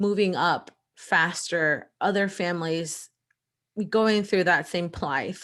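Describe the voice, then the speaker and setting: On a very clean recording with a silent background, a woman with an American accent speaks at a very slow pace in a medium pitch with ordinary pitch variation. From El Salvador, then US Midwest (Indiana). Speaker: lawyer and entrepreneur. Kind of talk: interview.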